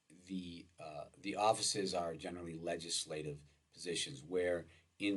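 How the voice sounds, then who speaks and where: A man speaking at a moderate pace, his pitch very deep and low. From US Midwest (Wisconsin). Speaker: law professor. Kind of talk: lecture. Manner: halting, many filler words.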